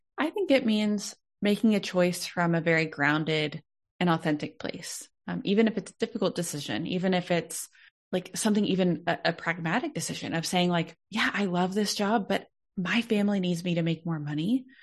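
Against a quiet background, a woman with an American accent speaks at a fairly quick pace. She has an unremarkable speaking voice at medium pitch. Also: ordinary pitch variation. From Texas, Dallas. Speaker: Enneagram consultant and speaker. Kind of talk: podcast interview.

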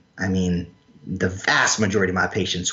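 In an American accent, a man speaks with a very deep, low pitch and ordinary pitch variation. Noticeable background noise can be heard. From North Carolina. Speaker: health practitioner and clinician trainer. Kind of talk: casual interview. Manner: animated.

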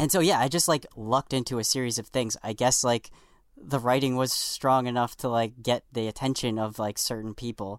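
A man with an American accent speaks in a normal speaking voice at medium pitch, fairly quick pace and ordinary pitch variation, in a very clean recording with a silent background and a dry, close sound with no echo. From New York. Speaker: comedy writer for late-night TV. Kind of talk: casual podcast interview.

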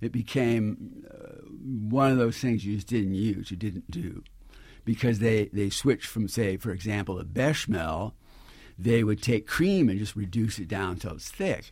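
On a very clean recording with a silent background, a man with a fairly low, somewhat breathy voice speaks at a fairly slow pace with ordinary pitch variation. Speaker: chef and cookbook author. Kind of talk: radio interview. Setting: studio.

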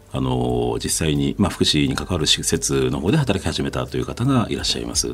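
A man talks with a very deep, low pitch and lively intonation. His pace is moderate. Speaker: NGO founder. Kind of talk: interview. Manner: hesitant.

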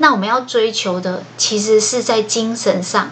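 A woman's fairly high-pitched voice at a very slow pace, with ordinary pitch variation and noticeable background noise. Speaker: podcast host sharing book notes. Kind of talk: solo scripted book-notes podcast. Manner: slowed down, following a script.

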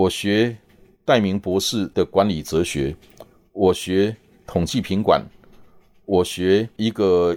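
An ordinary speaking voice with ordinary pitch variation. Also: man. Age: 60s. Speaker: podcast host. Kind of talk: monologue.

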